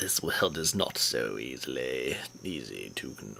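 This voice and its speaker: Delivered at a fairly slow pace, a put-on character voice comes through over clear background noise. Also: man. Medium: actual play.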